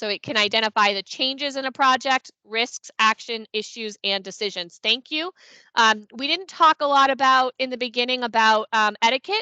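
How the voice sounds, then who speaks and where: A woman speaks at a high pitch with a bright, sharp tone, a moderate pace, ordinary pitch variation and hardly any pauses. The sound is dry with no echo, and the background is quiet. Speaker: consulting firm founder presenting a webinar; presenter. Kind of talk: webinar presentation. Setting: online meeting on Teams. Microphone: headset.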